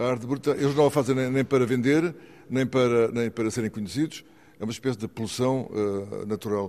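In a dark, mellow tone, a man speaks at a medium pitch and a fairly quick pace with ordinary pitch variation. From Mozambique. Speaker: outsider art collector and sculptor. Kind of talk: interview.

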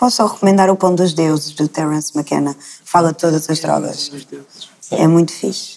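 A woman speaks at a fairly quick pace in a very deep, low pitch. Her pitch varies in an ordinary way. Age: 20s. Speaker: psychology student. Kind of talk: panel discussion.

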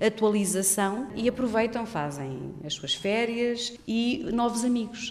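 A woman talks with lively intonation while noticeable background noise is heard. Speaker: university program coordinator. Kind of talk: interview.

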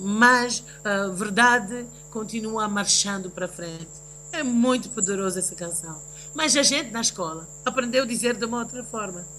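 Moderate pace and ordinary pitch variation from a woman with a fairly high voice, amid noticeable background noise. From raised between the US, Tanzania and Russia; Mozambican family. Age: 50s. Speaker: singer and event producer. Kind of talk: interview, personal testimony. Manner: halting, many fillers.

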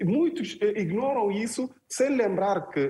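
A man's high-pitched voice with lively intonation. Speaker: journalist. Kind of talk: panel discussion.

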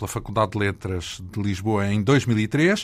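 With lively intonation and a fairly slow pace, a man talks in an ordinary speaking voice. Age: 40s. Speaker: radio host. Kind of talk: interview.

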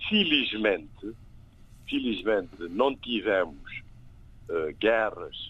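A man speaking at a very slow pace. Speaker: political commentator. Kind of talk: panel discussion.

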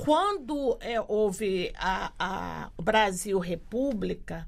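A woman's fairly high-pitched voice with vocal fry and ordinary pitch variation, on a very clean recording with a silent background. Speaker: quilombola community activist. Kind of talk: casual interview conversation.

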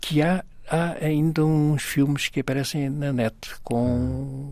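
A man is speaking. His pace is very slow. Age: 90s. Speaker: comic book artist. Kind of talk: interview.

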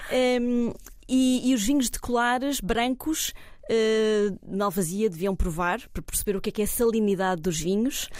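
A woman in a Lisbon accent speaks at a fairly slow pace, her fairly high pitch showing ordinary variation. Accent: European Portuguese (Lisbon area). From Portugal, Cascais. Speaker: wine tourism consultant. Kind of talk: casual chat. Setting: restaurant table. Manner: calm.

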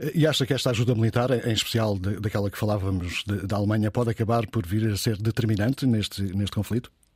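A man's very fast, somewhat breathy speech with hardly any pauses, fairly even intonation and fairly low pitch. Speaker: radio news host. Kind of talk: radio news discussion. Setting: radio studio.

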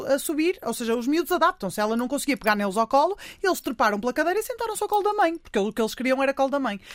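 Loud and high-pitched, a woman is speaking. Her pitch swings very widely. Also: dry, close sound with no echo, very clean recording, silent background. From Portugal, Porto. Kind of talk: radio interview. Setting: studio.

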